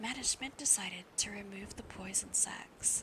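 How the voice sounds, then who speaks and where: A whisper over noticeable background noise. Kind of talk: ASMR audiobook reading aloud of a novel; live stream reading.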